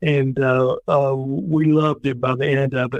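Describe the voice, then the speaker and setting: With a Tennessee accent, a man talks at a very slow pace in a fairly high pitch with fairly even intonation. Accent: Tennessee Southern. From US South. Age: 60s. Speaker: former state legislator and army veteran. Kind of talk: interview conversation. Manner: hesitant, many fillers.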